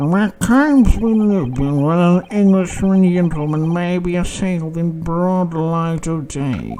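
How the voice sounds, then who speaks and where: A put-on character voice at a middle pitch, fairly slow in pace, with hardly any pauses. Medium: game stream. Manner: pompous, condescending.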